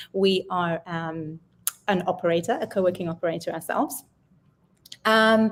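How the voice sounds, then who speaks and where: The recording is very clean and the background silent. A woman talks at a moderate speed, her pitch shifting in an ordinary way. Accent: British. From Britain. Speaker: sales manager. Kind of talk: casual chat.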